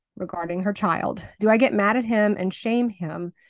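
A woman talks at a moderate pace with an ordinary speaking voice at medium pitch. The sound is dry and close with no echo, over a quiet background. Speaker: podcast co-host. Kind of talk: casual chat.

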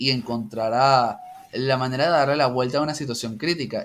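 A man with a normal speaking voice, medium pitch, moderate pace and fairly even intonation. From Venezuela, Caracas. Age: 30s. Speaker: university statistics lecturer. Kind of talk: casual chat.

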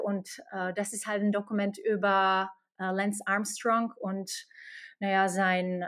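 The speaker talks with a Slovak accent. The recording is very clean, with a silent background. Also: woman. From Slovakia. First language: Slovak (speaking German). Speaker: HR expert at a games company. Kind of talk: interview.

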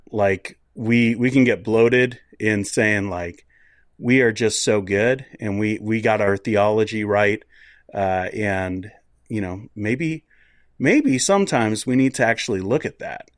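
A plain, everyday voice from a man with an American accent, fairly low-pitched, at a fairly slow pace with fairly even intonation, on a very clean recording against a silent background. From United States. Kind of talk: casual chat.

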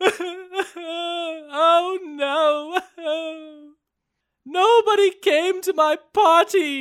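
This put-on character voice sits at an extremely high pitch. It moves at a very slow pace. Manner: sad.

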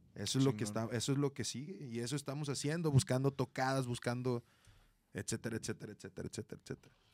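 On a very clean recording with a silent background and a dry, close sound with no echo, a man talks at a very fast pace in a medium pitch with ordinary pitch variation. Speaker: rock musician. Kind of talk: casual chat.

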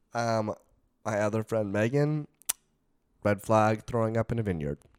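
A man speaks at a medium pitch with long, frequent pauses. The sound is dry and close, with no echo. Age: 20s. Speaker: podcast co-host. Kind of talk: casual chat.

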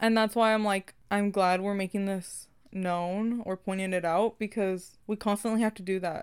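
On a very clean recording with a silent background, a woman with an American accent and a plain, everyday voice talks at a medium pitch and moderate pace, with fairly even intonation and hardly any pauses. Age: 20s. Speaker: podcast co-host. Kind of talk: casual chat.

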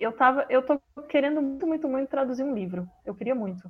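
A woman's voice with ordinary pitch variation. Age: 30s. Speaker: translator. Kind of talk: interview.

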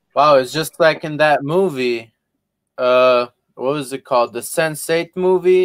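An ordinary speaking voice from a man, fairly high in pitch and fairly slow, with a dry, close sound and no echo. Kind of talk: casual chat. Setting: video call.

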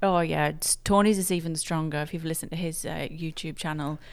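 The woman speaks in an English accent. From England. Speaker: emergency room nurse. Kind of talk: casual interview. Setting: video call.

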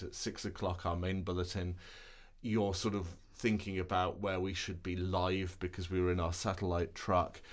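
A man speaks with a very deep, low pitch. His intonation is monotone and flat, and his pace is moderate. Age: 40s. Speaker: television reporter. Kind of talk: interview. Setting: studio.

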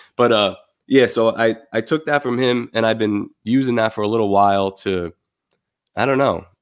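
Heard in a very clean recording with a silent background, a man uses a normal speaking voice at a medium pitch with ordinary pitch variation. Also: moderate pace. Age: 30s. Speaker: artist and designer. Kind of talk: casual chat.

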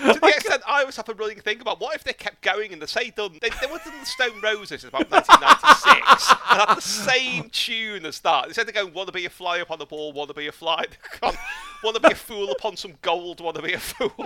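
Over noticeable background noise, a raised, projected voice moves at a fairly quick pace with very wide pitch swings and big swings in loudness. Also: man, high pitch for a man. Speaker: podcast host. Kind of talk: casual interview chat.

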